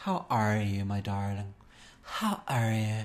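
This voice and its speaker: A put-on character voice with an Irish accent speaks at a low pitch. It is breathy and fairly slow. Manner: sweet, airy.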